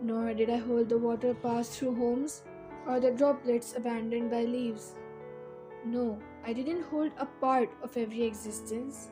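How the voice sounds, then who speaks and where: With music in the background, a woman speaks at a moderate pace in a fairly high voice with ordinary pitch variation. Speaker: spoken word poet. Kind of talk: poetry reading.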